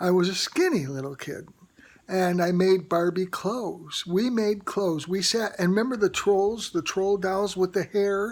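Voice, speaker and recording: Moderate pace, ordinary pitch variation and an ordinary speaking voice. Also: woman, medium pitch for a woman. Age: 60s. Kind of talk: personal testimony to camera. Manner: casual, chatty.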